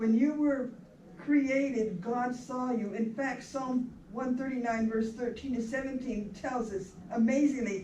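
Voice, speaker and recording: A woman speaks at a fairly slow pace with a high pitch and fairly even intonation. Noticeable background noise and audible room echo are present. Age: 80s+. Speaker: minister officiating a memorial. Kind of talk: funeral sermon. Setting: memorial service in a rec hall.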